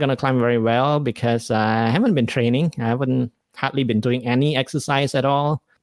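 A man speaks at a medium pitch with fairly even intonation. The recording is very clean, with a silent background. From Malaysia. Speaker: podcast host and stand-up comedian. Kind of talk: casual solo talk with live stream chat. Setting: live stream at home. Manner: casual, hesitant with many fillers.

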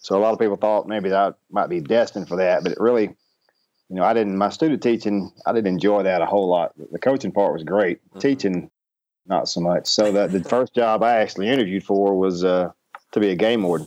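This man has a Southern US accent and a fairly low pitch. He talks at a fairly quick pace in a dry, close sound with no echo. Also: ordinary pitch variation. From Arkansas. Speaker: baseball coach. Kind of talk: interview.

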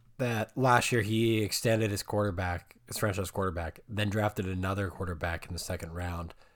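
A man with an unremarkable speaking voice, fairly low pitch and fairly even intonation, at a fairly quick pace with hardly any pauses, on a very clean recording with a silent background. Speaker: podcast host. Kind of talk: casual sports chat.

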